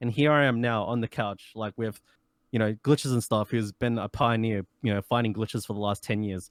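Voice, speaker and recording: A man with an Australian accent talks at a fairly quick pace, his medium pitch held in fairly even intonation. The recording is very clean with a silent background and a dry, close sound with no echo. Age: 20s. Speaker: speedrunner. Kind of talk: interview.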